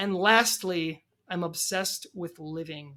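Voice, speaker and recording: The recording is very clean, its background silent. A woman's tone comes across bright and sharp. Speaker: podcast guest sharing transition stories. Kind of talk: casual interview chat. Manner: halting, repeats words.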